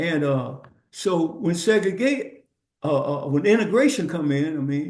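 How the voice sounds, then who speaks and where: A man with a dark, mellow tone and a fairly high pitch speaks fairly slowly with lively intonation, amid audible room echo. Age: 70s. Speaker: podcast guest. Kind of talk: casual chat. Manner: halting.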